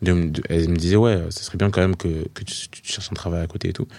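A man speaks with a very deep, low pitch and a dark, mellow tone. He moves at a moderate pace with fairly even intonation. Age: 20s. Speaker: gospel artist. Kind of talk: casual interview. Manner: hesitant, many fillers.

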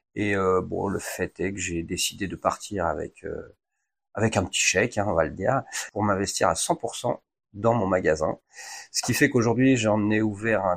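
A plain, everyday voice at a fairly slow pace, with ordinary pitch variation in a very clean recording with a silent background. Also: man. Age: 40s. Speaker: wine shop owner, former firefighter. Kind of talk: interview.

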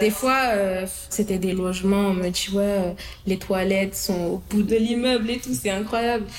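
A woman speaks at medium pitch and a moderate pace, her intonation fairly even. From Paris suburbs (Hauts-de-Seine). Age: 20s. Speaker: young worker in social housing. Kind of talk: interview testimony. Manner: hesitant, many fillers.

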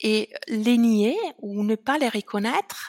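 A woman with an Italian accent, in a dry, close sound with no echo. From Italy, Veneto. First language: Italian (speaking French). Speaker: founder of a language association. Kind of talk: interview. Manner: hesitant, many fillers.

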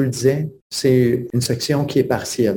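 The voice carries a dark, mellow tone and is somewhat breathy. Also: man. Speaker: teacher and author. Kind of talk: interview.

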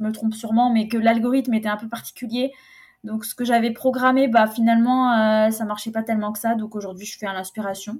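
A woman speaks at a fairly quick pace with a somewhat breathy voice. Her pitch sits fairly high, and her intonation stays flat and monotone. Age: 20s. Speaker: private chef and food consultant. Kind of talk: casual interview.

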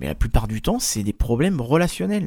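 Recorded very cleanly with a silent background and a dry, close sound with no echo, a man talks at a moderate pace with a medium pitch and very wide pitch swings. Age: 30s. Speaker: podcast host and career coach. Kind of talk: solo podcast monologue. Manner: casual, hesitant with fillers.

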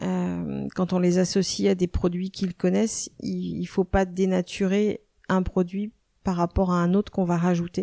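A woman speaks fairly slowly on a very clean recording with a silent background. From western France, Nantes. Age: 50s. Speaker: chef and restaurant owner. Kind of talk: interview. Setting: in her restaurant. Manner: hesitant, many fillers.

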